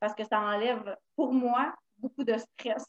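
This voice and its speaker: Speaking in a Quebec accent, a woman goes at a fairly slow pace with a fairly high pitch and fairly even intonation. The sound is dry and close, with no echo. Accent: Québécois French. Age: 30s. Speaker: stay-at-home mother of four. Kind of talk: casual chat.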